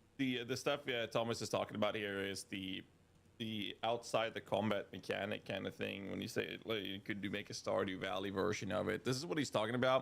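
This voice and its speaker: Delivered at a fairly quick pace, the speech has fairly even intonation and a Swedish accent. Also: man, fairly low pitch for a man. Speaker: streamer. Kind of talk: casual commentary.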